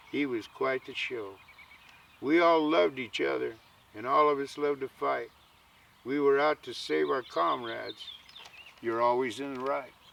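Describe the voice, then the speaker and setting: Background noise is noticeable as a man talks at a moderate pace. He leaves long, frequent pauses. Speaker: cowboy poet, Vietnam veteran. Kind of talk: poetry reading.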